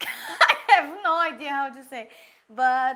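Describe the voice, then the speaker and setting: A woman with a Portuguese accent speaks at a very slow pace and a high pitch. Her tone is bright and sharp, with ordinary pitch variation. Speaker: pastry chef and baking teacher. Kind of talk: live Q&A tutorial. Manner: halting, searching for English words.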